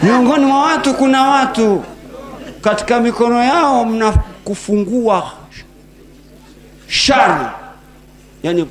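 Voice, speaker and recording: Against light background noise, a man talks at a very slow pace. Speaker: speaker. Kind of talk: sermon. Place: hall. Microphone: handheld.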